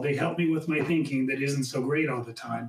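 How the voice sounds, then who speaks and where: Fairly even intonation runs through a man's fairly high voice, an ordinary speaking voice. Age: 60s. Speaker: dentist in recovery, panelist. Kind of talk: panel discussion, personal testimony.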